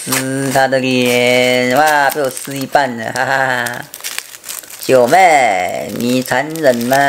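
Very slow pace from a man with fairly even intonation, over light background noise. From Taiwan. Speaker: food vlogger. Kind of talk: casual food review to camera. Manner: chatty, with frequent filler particles. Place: home room. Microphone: camera far.

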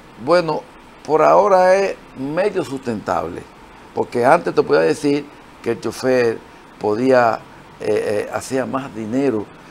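A man at a fairly slow pace, with long, frequent pauses, very wide pitch swings and light background noise. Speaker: guest. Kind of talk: interview answer. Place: studio. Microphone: lapel.

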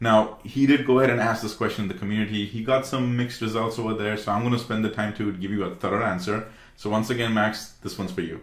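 With hardly any pauses, a man of fairly low pitch talks at a very fast pace with fairly even intonation and audible room echo. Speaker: tech tutorial creator. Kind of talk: tutorial. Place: home room.

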